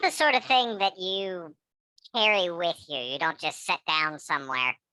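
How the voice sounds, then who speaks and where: In a put-on character voice at a middle pitch, the speaker goes at a moderate pace. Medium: actual play. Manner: dry, deadpan.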